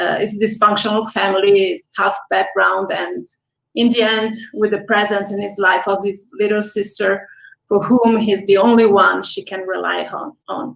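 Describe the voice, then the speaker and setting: With an Italian accent, a woman speaks at a medium pitch and a moderate pace, her intonation fairly even. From Italy. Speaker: film director. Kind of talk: interview.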